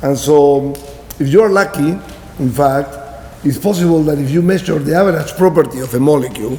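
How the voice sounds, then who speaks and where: Fairly quick in pace, a man with a Spanish accent talks over noticeable background noise with audible room echo. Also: fairly high pitch for a man, ordinary pitch variation. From Peru. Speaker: professor. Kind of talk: lecture.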